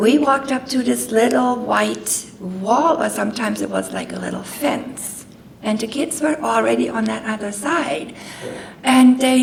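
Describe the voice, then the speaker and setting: A woman speaks at a moderate pace with a German accent. The room echoes audibly and background noise is noticeable. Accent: German accent, persistent. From Germany. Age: 60s. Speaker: guest speaker. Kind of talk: personal testimony talk. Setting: talk to an audience with microphone.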